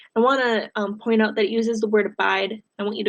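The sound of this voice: This is an unforced reading voice with fairly even intonation. The background is quiet.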